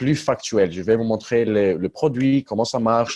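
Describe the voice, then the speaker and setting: A man speaks with a non-native accent at medium pitch. His intonation is fairly even and his pace moderate. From Luxembourg, Greek family. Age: 20s. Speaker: network marketing leader. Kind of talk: conference call presentation. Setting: conference call. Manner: halting, some hesitations.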